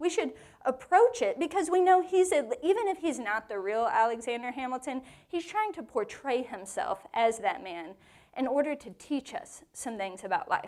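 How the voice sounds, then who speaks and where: At a moderate pace, a woman with a high pitch speaks in an animated tone, her pitch swinging very widely. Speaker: women's Bible study teacher. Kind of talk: Bible teaching to a live group. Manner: conversational, animated.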